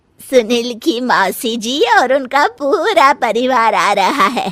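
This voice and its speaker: A woman's cartoonish character voice, high in pitch, with lively intonation, very even loudness and a fairly slow pace. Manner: commanding.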